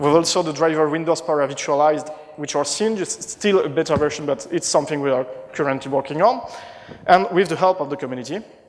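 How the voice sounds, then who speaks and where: A man with a French accent talks fairly quickly at fairly high pitch with ordinary pitch variation, noticeable background noise behind him. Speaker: conference speaker, marketing manager. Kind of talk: conference talk. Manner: halting, many fillers and restarts.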